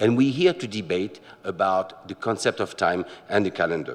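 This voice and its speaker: Speaking with a French accent, a man's pitch swings very widely. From France. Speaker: watch company manager, presenter. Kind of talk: lecture. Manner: halting, many filler words.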